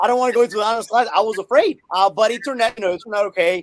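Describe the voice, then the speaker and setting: A man's high-pitched, animated voice at a very fast pace, dry and close with no echo. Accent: Spanish. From Colombia. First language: Spanish. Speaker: math teacher and author. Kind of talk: interview conversation. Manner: animated, with many fillers and repetitions.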